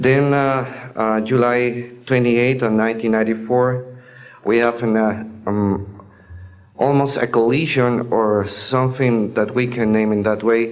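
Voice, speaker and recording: With a non-native accent, a man speaks fairly slowly at a medium pitch, his intonation monotone and flat and his loudness very even, with audible room echo. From Mexico. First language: Spanish. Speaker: air traffic controller. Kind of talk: testimony. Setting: speaking before an audience. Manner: halting, many hesitations.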